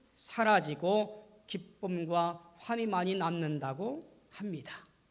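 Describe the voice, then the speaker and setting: Room echo is audible as a man speaks at a very slow pace. His pitch is high. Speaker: pastor. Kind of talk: sermon.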